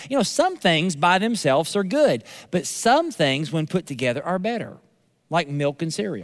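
A man with an American accent speaks fairly slowly at a high pitch in an animated tone, in a very clean recording with a silent background. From US South. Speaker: pastor. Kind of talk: sermon. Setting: church.

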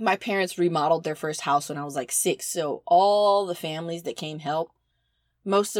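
A woman with an American accent and an unremarkable speaking voice, fairly low in pitch with ordinary pitch variation, at a moderate pace on a very clean recording with a silent background. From US South. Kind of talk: casual chat.

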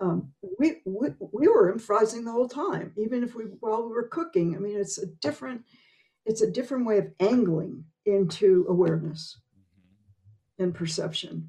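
Somewhat breathy and dark, mellow in tone, a woman at medium pitch speaks at a moderate pace with lively intonation. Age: 80s. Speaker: improv performer and teacher. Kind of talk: interview conversation.

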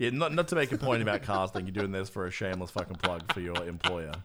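A man with an Australian accent, very deep and low in pitch, at a very fast pace with lively intonation, on a very clean recording with a silent background. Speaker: podcast host. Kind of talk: casual chat. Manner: animated.

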